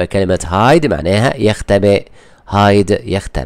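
Very slow delivery on a very clean recording, the background silent. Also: man. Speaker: English teacher. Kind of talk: tutorial. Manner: repetitive, slow explanatory.

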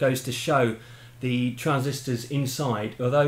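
In a room with audible echo, a man talks at a fairly slow pace with monotone, flat intonation. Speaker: hobbyist demonstrating equipment. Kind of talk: tutorial. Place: home room.

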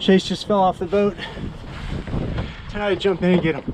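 Over clear background noise, a man with a high pitch talks at a moderate pace with fairly even intonation.

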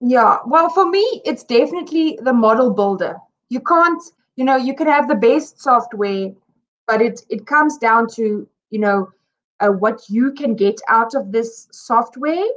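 At a fairly slow pace, a woman speaks in a high pitch with lively intonation. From South Africa. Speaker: simulation engineer. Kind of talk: casual interview. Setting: video call. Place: home room. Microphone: video call.

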